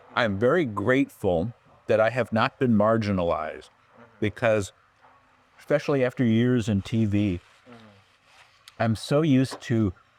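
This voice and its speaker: A man with an American accent speaks at a moderate pace and medium pitch, with ordinary pitch variation, long, frequent pauses, and a dry, close sound with no echo. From California. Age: 60s. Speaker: writer and producer. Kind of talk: interview conversation.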